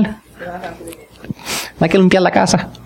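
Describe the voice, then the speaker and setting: A man talks in an animated tone, with audible room echo and noticeable background noise. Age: 50s. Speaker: pastor. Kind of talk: sermon.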